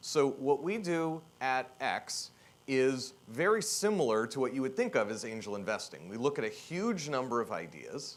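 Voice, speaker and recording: A man speaks loudly at medium pitch. His pitch swings very widely. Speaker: keynote speaker, tech executive. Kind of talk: conference keynote talk. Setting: stage with audience. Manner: provocative, energetic.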